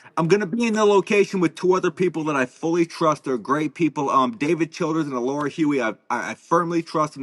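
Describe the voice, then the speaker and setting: A man speaks very fast with lively intonation. The sound is dry and close, with no echo. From Alabama. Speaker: paranormal investigator. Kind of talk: casual chat.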